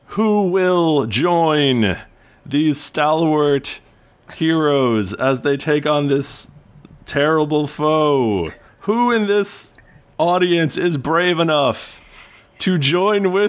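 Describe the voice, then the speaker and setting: Using a put-on character voice, a man speaks very slowly, fairly high in pitch, with lively intonation. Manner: dramatic, announcing.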